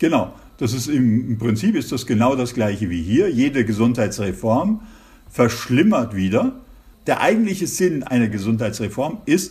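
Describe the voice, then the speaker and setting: Somewhat breathy, a man talks at a fairly slow pace and medium pitch, with very wide pitch swings. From Germany. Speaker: intensive care physician. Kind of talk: interview. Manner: hesitant, many fillers.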